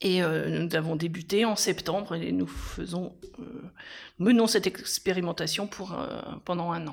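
A woman with a fairly low pitch and fairly even intonation talks at a fairly slow pace, leaving long, frequent pauses. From France, Cher (Centre-Val de Loire). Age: 50s. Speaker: mayor. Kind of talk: interview.

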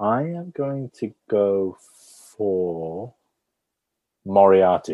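Very slow speech from a man with a British accent, a dark, mellow tone and fairly low pitch, broken by long, frequent pauses. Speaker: co-host guessing accents. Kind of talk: casual banter, comedy film game. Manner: playful, jokey.

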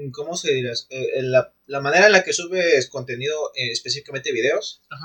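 A man talks at a fairly quick pace with hardly any pauses and big swings in loudness. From Mexico. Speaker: podcast co-host. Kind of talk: casual chat.

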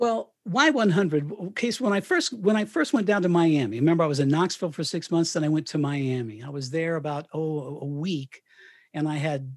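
This is an ordinary speaking voice, a man with a General American accent. He talks at a moderate pace with ordinary pitch variation. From Colorado (Canon City). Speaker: retired radio broadcaster and author. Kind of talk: interview. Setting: remote call from home.

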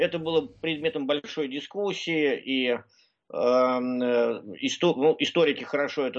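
This man's voice sits at a fairly high pitch. He speaks at a very slow pace. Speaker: researcher. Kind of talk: radio interview.

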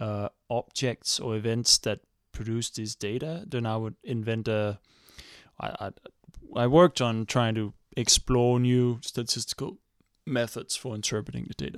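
In a very clean recording with a silent background and a dry, close sound with no echo, a man with a Danish accent speaks at a medium pitch and moderate pace with fairly even intonation. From Denmark. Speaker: astrophysicist. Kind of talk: casual chat. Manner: halting.

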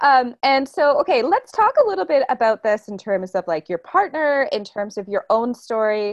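With hardly any pauses, a high-pitched woman with a Canadian accent speaks in very wide pitch swings, the sound dry and close with no echo against a quiet background. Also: moderate pace. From Toronto, Canada. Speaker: podcast host. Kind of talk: interview. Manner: animated.

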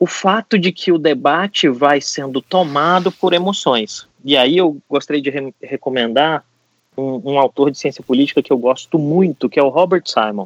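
A man with an ordinary speaking voice talks at a moderate pace, fairly high in pitch with ordinary variation. The sound is dry and close with no echo. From Brasília, Brazil. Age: 40s. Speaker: political risk consultant. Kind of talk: podcast discussion.

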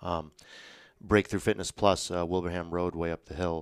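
The man has a very deep, low voice with monotone, flat intonation. The recording is very clean, with a silent background. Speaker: personal trainer. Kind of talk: casual interview. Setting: podcast studio.

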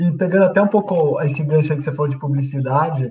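A man with a fairly high, somewhat breathy voice talks at a fairly quick pace with lively intonation. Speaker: student and sports website host. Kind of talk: interview. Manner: casual.

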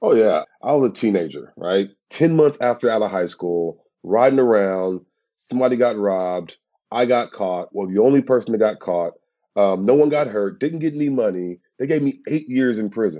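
With an American accent, a man speaks at a moderate pace in a medium pitch, his tone dark and mellow and his intonation lively. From USA. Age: 30s. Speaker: criminal justice campaigner. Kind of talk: interview.

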